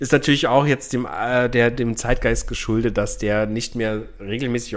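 With an ordinary speaking voice, a man talks at a moderate pace and medium pitch with ordinary pitch variation. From Bavarian Swabia (Unterallgäu), Germany. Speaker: podcast co-host. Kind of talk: casual chat. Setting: same room with co-host.

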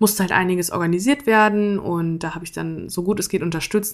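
A woman speaks in an unremarkable speaking voice, fairly low and with fairly even intonation. The recording is very clean, with a silent background. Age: 20s. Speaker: podcaster and student. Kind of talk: casual personal monologue.

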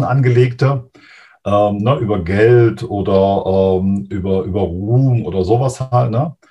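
At a very slow pace, a man talks in a somewhat breathy voice. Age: 50s. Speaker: mental coach. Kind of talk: interview.

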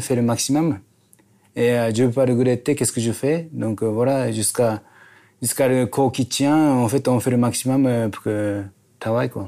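A man talks with a dark, mellow tone at a medium pitch. His intonation stays fairly even. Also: very clean recording, silent background. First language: Japanese (speaking French). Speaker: chef, restaurant owner. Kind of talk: casual chat. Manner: halting, non-native French.

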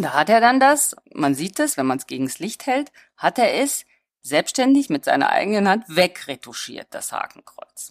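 Recorded with a dry, close sound and no echo, a woman speaks at a moderate pace in a fairly high pitch with very wide pitch swings, big swings in loudness and vocal fry. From Germany and Hungary. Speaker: visual artist. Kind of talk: interview.

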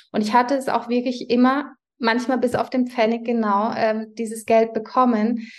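Against a quiet background, a woman talks at a fairly high pitch with monotone, flat intonation. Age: 40s. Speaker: prenatal yoga teacher and business owner. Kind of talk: interview.

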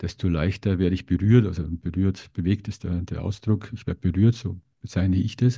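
Over a quiet background, a man's fairly low voice comes through somewhat breathy, with a dark, mellow tone and fairly even intonation. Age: 50s. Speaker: podcast host. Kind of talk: interview conversation.

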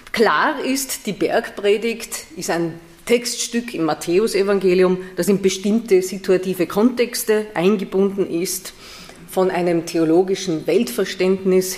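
A woman speaks very slowly in a Viennese accent, at a medium pitch with ordinary variation. Noticeable background noise sits behind her. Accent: Austrian (Viennese). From Vienna, Austria. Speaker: theology professor. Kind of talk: lecture.

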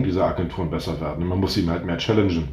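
A man's very deep, low voice, somewhat breathy, with audible room echo. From northern Germany, North Sea coast. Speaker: startup founder. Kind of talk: interview.

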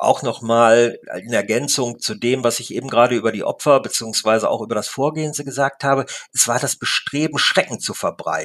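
Speaking at a fairly quick pace with hardly any pauses, a man holds a medium pitch and ordinary pitch variation. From Lippe region, Ostwestfalen, Germany. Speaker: newspaper reporter. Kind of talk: interview. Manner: hesitant, many fillers.

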